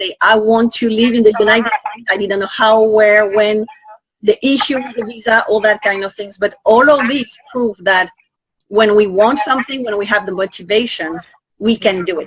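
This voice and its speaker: A woman with a French accent, fairly high in pitch, at a moderate pace with fairly even intonation. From Guadeloupe. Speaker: conference organizer and host. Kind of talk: interview.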